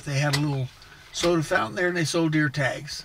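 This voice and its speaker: There is noticeable background noise behind this man. His intonation stays fairly even. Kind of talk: casual storytelling. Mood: relaxed, reminiscing. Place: car.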